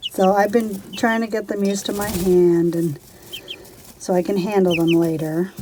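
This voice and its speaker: Over noticeable background noise, a woman at medium pitch speaks at a moderate pace with fairly even intonation. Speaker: homesteading vlogger. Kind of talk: casual vlog tutorial. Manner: soft-spoken.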